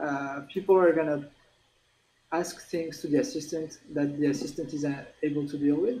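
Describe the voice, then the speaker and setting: In a strong French accent, a man speaks at a moderate pace with a fairly high pitch. His tone is dark and mellow, and his pitch varies in an ordinary way. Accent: French, self-described as strong. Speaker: tech company executive. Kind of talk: interview. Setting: livestream.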